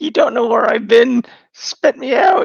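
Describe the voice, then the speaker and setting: A put-on character voice with a high pitch comes at a moderate pace. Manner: annoyed, complaining.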